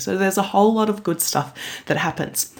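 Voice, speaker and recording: Speaking at a moderate pace, this woman has an Australian accent. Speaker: maths education consultant. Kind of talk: recorded conference presentation.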